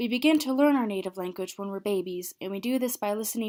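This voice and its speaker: A soft-spoken woman talks at a very fast pace on a very clean recording with a silent background. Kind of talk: educational presentation.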